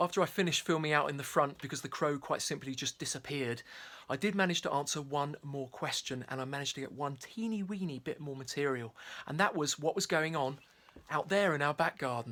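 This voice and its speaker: A very fast voice with a bright, sharp tone and ordinary pitch variation, on a very clean recording with a silent background. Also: man, fairly high pitch for a man. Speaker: wildlife filmmaker. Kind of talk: vlog narration; live wildlife commentary. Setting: at home, garden. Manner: quiet, hushed; animated.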